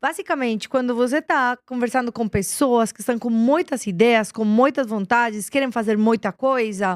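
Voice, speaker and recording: A woman's fairly high voice with lively intonation and a Colombian accent, recorded dry and close with no echo. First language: Spanish (speaking Portuguese). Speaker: business executive. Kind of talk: interview. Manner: hesitant, with fillers and repetitions.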